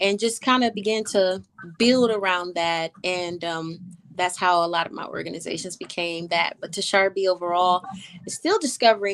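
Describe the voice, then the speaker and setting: This is an unremarkable speaking voice. A woman speaks at a medium pitch with an American accent. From Toledo, Ohio (US Midwest). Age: 40s. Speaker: businesswoman and entrepreneur. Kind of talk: interview.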